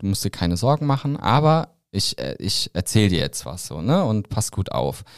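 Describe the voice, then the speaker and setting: The sound is dry and close, with no echo. A man speaks at a fairly low pitch with very wide pitch swings. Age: 30s. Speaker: founder of a creator marketing platform. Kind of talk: casual interview. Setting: studio.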